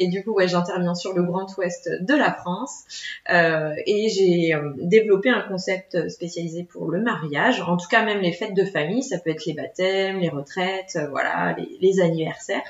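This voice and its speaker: The woman's pitch is medium, with ordinary variation and a moderate pace. Noticeable background noise runs throughout. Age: 30s. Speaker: children's entertainment business owner. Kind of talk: casual interview.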